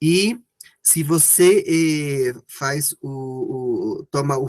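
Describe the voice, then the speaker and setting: A man is talking. His speech carries a non-native accent. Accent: non-native Portuguese, rusty. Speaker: participant asking questions. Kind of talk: question in online Q&A. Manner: halting, many false starts.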